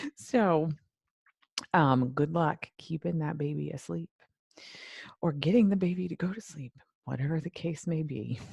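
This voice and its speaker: In a soft-spoken, somewhat breathy voice with a very deep, low pitch, a woman talks at a moderate pace with ordinary pitch variation and long, frequent pauses, the sound dry and close with no echo. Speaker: life and weight loss coach. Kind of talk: live stream talk. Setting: Facebook live video. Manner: soft-spoken, low volume.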